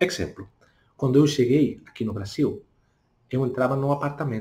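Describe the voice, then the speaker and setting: A man with a Spanish accent, medium in pitch and somewhat breathy, with a dark, mellow tone and ordinary pitch variation. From Spain. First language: Spanish (speaking Portuguese). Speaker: language teacher. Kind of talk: tutorial. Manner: deliberately slow.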